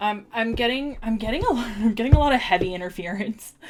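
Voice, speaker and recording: A woman's medium-pitched voice at a moderate pace. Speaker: tarot and oracle card reader. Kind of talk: live-streamed oracle card reading. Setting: live stream. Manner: casual, chatty with many fillers.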